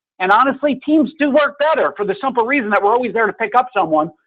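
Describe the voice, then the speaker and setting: This man talks loudly in an animated tone. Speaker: mortgage loan officer. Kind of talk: radio talk show.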